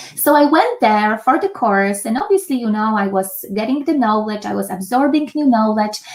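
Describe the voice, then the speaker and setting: A woman with a Polish accent and lively intonation. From Poland. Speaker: meditation instructor. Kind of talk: online master class. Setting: home office. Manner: hesitant, many fillers.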